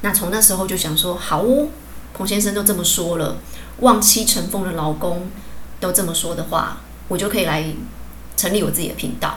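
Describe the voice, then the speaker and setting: A woman's medium-pitched voice with ordinary pitch variation, audible room echo and noticeable background noise. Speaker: podcast host, English teacher and healer. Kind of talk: casual solo monologue.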